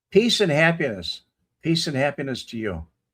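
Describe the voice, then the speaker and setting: Speaking at a moderate pace in a Chicago accent, a man uses very wide pitch swings and vocal fry. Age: 70s. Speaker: live-stream host, ex-Marine. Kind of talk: casual chat answering live comments. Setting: live stream.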